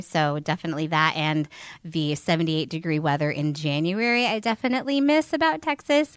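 An ordinary speaking voice with an American accent at a moderate pace, in a very clean recording with a silent background and a dry, close sound with no echo. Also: woman. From northern Indiana. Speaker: elementary school teacher. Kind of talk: casual interview.

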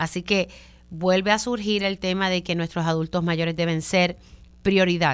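With an ordinary speaking voice, a woman talks at a moderate pace and fairly low pitch, her intonation fairly even, in a very clean recording with a silent background. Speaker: radio journalist and host. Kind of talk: radio talk show interview.

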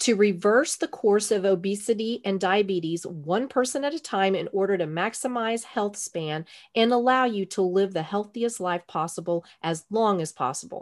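A woman with a Texan accent talks at a moderate pace and medium pitch, her animated tone and lively intonation running with hardly any pauses over a quiet background. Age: 50s. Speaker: podcast host. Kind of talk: interview.

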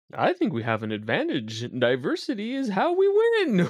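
A man performs a put-on character voice. His pace is moderate. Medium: actual play. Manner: short, simple phrases.

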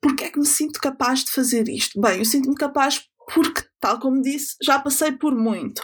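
A high-pitched woman with a European Portuguese accent, at a moderate pace with ordinary pitch variation. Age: 20s. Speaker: podcast host. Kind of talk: personal monologue.

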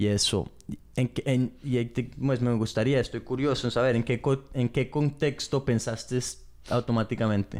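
Here a man speaks in a dark, mellow tone. His pace is moderate. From England. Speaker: podcast co-host. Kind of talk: casual chat. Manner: halting.

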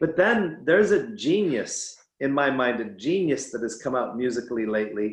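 Very wide pitch swings from a man with a fairly high voice, at a moderate pace. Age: 50s. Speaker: addiction specialist. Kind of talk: interview conversation.

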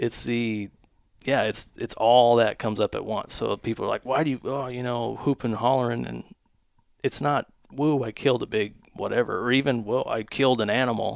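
A man talks in an American accent with an ordinary speaking voice. His pitch is medium and his intonation fairly even. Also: moderate pace. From US West Coast. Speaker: hunting content creator. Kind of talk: casual chat. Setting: studio.

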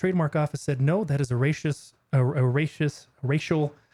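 A man's fairly high voice comes across somewhat breathy, with a dark, mellow tone and a dry, close sound with no echo. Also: very clean recording, silent background. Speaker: podcast co-host. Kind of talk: casual chat.

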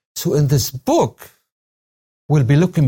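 Recorded with a dry, close sound and no echo, a man speaks fairly slowly in a somewhat breathy, dark, mellow voice pitched fairly high. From Syria. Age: 60s. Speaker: retired religion professor and pastor. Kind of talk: interview.

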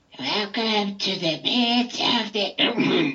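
In a put-on character voice, the speaker sounds raspy and nasal at a fairly high pitch. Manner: eerie, dramatic.

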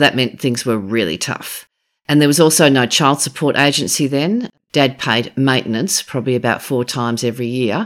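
A woman in an Australian accent, very deep and low in pitch, at a moderate pace with ordinary pitch variation, in a very clean recording with a silent background. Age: 50s. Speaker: former politician. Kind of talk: interview.

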